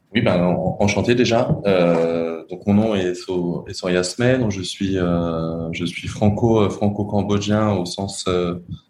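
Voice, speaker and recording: Against noticeable background noise, a man with a very deep, low pitch talks at a very slow pace with fairly even intonation and hardly any pauses. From France. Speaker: entrepreneur. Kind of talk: interview. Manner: halting, many repetitions.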